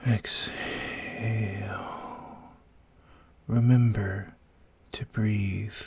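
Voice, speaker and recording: A soft-spoken, gentle-toned voice at a very slow pace. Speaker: ASMR storyteller. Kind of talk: guided fantasy sleep story.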